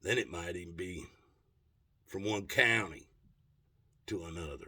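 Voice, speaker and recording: A man's very deep, low voice with a bright, sharp tone, a moderate pace and ordinary pitch variation. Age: 60s. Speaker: political commentator. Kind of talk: rant. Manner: animated.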